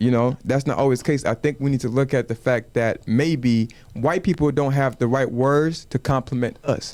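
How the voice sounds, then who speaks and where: A man's voice with fairly even intonation and very even loudness. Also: medium pitch for a man, moderate pace. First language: Wolof. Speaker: podcast co-host. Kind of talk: casual chat.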